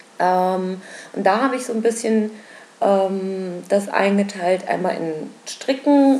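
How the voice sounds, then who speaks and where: Against noticeable background noise, a woman talks with a medium pitch and ordinary pitch variation. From Berlin. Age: 20s. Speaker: knitting and spinning podcaster. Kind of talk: casual solo podcast monologue. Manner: many filler sounds (ähm, äh).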